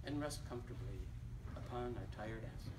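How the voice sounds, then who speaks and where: A man with an American accent, with noticeable background noise. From Detroit area, Michigan. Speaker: poet reading his work. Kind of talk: poetry reading. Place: shop. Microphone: camera far.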